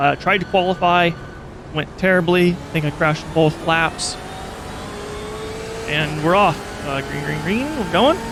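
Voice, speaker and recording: A man's high-pitched mumbling with long, frequent pauses and noticeable background noise. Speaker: sim racing gamer. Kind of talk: gameplay commentary over replay. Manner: casual, halting.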